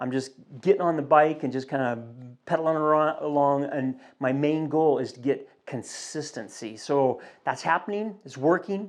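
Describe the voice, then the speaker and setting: A man speaks in an unremarkable speaking voice at a moderate pace with ordinary pitch variation. His loudness swings widely over a quiet background. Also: fairly high pitch for a man. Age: 60s. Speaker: fitness vlogger training for a triathlon. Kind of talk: casual vlog update. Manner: relaxed, conversational with fillers.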